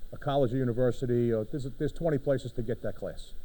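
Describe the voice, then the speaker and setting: A man with a Brooklyn accent, a dark, mellow tone, ordinary pitch variation and a fairly quick pace. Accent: New York (Brooklyn). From New York City, Brooklyn. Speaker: fire department official. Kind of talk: conference presentation. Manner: animated, conversational.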